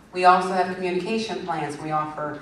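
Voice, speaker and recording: Against noticeable background noise and audible room echo, a woman speaks at a fairly low pitch. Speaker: library staff member on a panel. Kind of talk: conference panel presentation. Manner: fast; animated.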